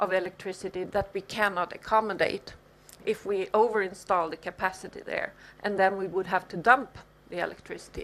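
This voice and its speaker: At a moderate pace, an unremarkable speaking voice carries on, its pitch varying in an ordinary way. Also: woman. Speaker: professor. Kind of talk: lecture.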